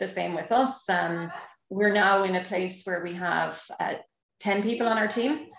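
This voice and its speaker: In an Irish accent, a woman speaks at medium pitch with ordinary pitch variation. Her pace is fairly slow. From Ireland. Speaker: nonprofit employer lead, former tech manager. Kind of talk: podcast interview. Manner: hesitant, many fillers.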